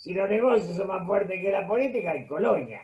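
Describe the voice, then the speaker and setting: A man talks in a high voice with a Rioplatense accent. His pitch rises and falls in an ordinary way. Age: 70s. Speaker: political commentator. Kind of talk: interview.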